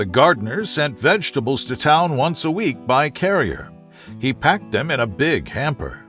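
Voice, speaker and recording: Over music in the background, a man with a fairly high pitch uses a soothing tone and very wide pitch swings. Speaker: narrator. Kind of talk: sleep story. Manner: soothing, slow.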